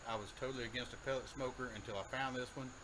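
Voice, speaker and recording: Over noticeable background noise, a man with an Alabama accent speaks at medium pitch and a fairly quick pace. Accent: Southern US (Alabama). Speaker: home cooking show host. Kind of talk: casual cooking tutorial. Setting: outdoors by a grill. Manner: loud.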